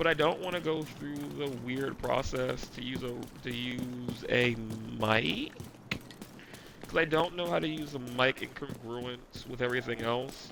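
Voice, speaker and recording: Over noticeable background noise, a man talks at a fairly slow pace with medium pitch and ordinary pitch variation. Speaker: gaming streamer. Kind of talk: casual chat while gaming. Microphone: gaming headset mic, poor quality.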